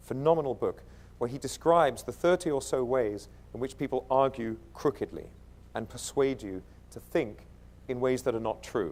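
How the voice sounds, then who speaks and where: Moderate-paced speech with an American accent. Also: man, medium pitch for a man, ordinary pitch variation. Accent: British, slipping toward American. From East London, England. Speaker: keynote speaker. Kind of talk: conference keynote. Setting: stage with audience. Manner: animated.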